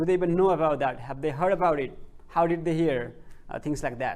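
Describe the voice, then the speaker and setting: Audible room echo surrounds a man as he speaks. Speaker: PhD researcher presenting. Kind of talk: conference presentation. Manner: slow; halting, many fillers.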